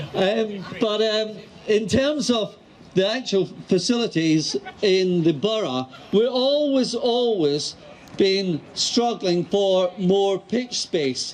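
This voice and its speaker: Speaking at a very slow pace with a Scottish accent, a man uses a high pitch, lively intonation and very even loudness over noticeable background noise. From Scotland. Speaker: mayor. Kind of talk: public speech.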